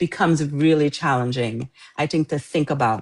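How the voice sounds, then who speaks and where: In a slight Trinidadian accent, a woman with a very deep, low pitch and ordinary pitch variation comes across dry and close with no echo, on a very clean recording with a silent background. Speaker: author. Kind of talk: interview.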